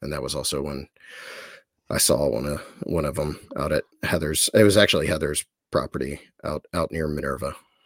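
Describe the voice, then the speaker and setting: With an American accent, a man talks fairly quickly at a very deep, low pitch, his intonation fairly even and his voice showing vocal fry. Long, frequent pauses break up his speech, and the sound is dry and close, with no echo. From Ohio, US. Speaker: documentary filmmaker. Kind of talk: casual interview.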